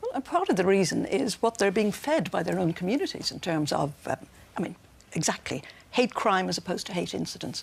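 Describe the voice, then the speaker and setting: Over noticeable background noise, a woman speaks with an Irish accent. Her pace is fairly quick and her intonation lively. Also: medium pitch for a woman. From Ireland. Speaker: commentator. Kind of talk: TV panel debate. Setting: TV studio. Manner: forceful, talks over host.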